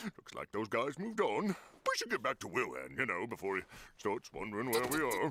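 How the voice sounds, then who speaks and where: Using a cartoonish character voice, a man talks fairly quickly at a medium pitch. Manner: blunt, plain-spoken.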